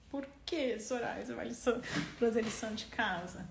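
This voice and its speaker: A woman's voice with audible room echo. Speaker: doctor and parenting educator. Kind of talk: live stream Q&A. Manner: halting, repeats words.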